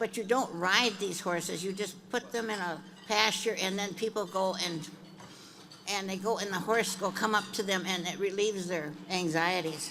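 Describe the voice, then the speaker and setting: Audible room echo surrounds a woman of medium pitch who speaks at a moderate pace with fairly even intonation. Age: 80s+. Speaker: horse breeder, award honoree. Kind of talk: acceptance speech. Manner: halting, many fillers.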